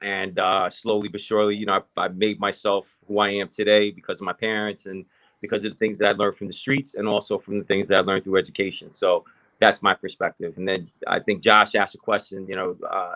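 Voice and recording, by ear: A man's low-pitched voice with a bright, sharp tone, little pitch movement and a fairly quick pace.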